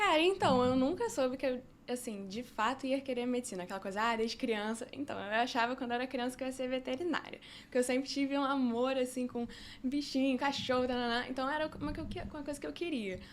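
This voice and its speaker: A woman talks very fast in a high voice, and her pitch moves in an ordinary way. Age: 20s. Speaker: medical student. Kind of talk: podcast interview. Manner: casual, filler-heavy.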